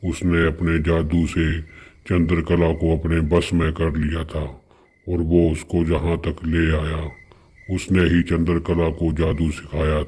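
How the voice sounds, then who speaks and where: Using a cartoonish character voice, a man speaks fairly slowly at a very deep, low pitch with monotone, flat intonation. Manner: calm, patient, explaining.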